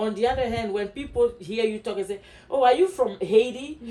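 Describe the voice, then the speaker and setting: A woman with a strong Ivorian accent speaks at a moderate pace in a fairly high voice with a dark, mellow tone and very wide pitch swings. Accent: West African (Ivorian), strong. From Ivory Coast. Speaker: podcast co-host, former teacher. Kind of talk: casual chat.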